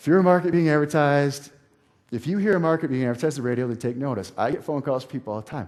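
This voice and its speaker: A man talks at a very fast pace in a fairly high voice with ordinary pitch variation. His loudness swings widely. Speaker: internet marketing speaker. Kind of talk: seminar talk.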